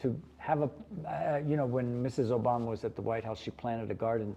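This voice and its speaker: A man with an American accent and a dark, mellow tone, at a medium pitch and fairly quick pace, with ordinary pitch variation. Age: 70s. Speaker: chef. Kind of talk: interview.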